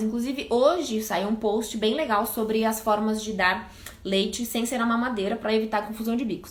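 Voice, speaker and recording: Over noticeable background noise and audible room echo, a woman speaks at a fairly high pitch and fairly quick pace with fairly even intonation. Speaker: pediatrician. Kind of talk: live stream Q&A talk. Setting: live stream. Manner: fast.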